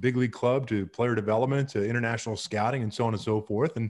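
Over a quiet background, a man with an American accent speaks with fairly even intonation. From Miami, Florida, US. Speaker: baseball play-by-play announcer. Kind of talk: interview answer. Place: home room. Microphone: studio mic.

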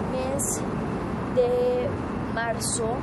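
A woman talks over loud background noise. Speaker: presenter. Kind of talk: true-crime on-location report. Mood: serious, somber. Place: street.

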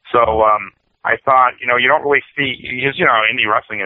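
A man's unremarkable speaking voice in an American accent, fairly quick in pace, with ordinary pitch variation. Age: 40s. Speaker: pro wrestler. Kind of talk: interview. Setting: phone call.

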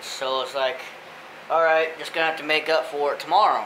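Against noticeable background noise, a man talks at a fairly quick pace in a monotone, flat intonation. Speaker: vlogger on a fishing trip. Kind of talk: casual vlog chat. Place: home room. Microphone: phone near.

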